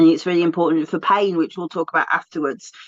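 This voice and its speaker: The tone is animated. The speaker has a British accent. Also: woman. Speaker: essential oil teacher, co-host. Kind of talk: casual discussion.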